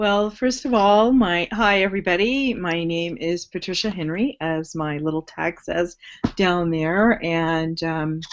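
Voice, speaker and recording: With a plain, everyday voice, a woman speaks at a fairly slow pace with a fairly low pitch and ordinary pitch variation. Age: 60s. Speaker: online business guest. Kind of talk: live webinar talk.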